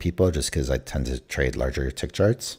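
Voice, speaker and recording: A man with an American accent talks at a fairly quick pace with vocal fry and ordinary pitch variation on a very clean recording with a silent background. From California. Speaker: day trader livestreamer. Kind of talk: casual live-stream commentary. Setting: live stream. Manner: hesitant, many fillers.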